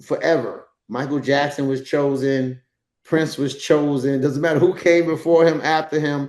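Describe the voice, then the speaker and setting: A man with a New York accent speaks in a monotone, his intonation flat. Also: fairly high pitch for a man, moderate pace. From New York, the Bronx. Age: 60s. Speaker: dancer and actor. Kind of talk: casual chat.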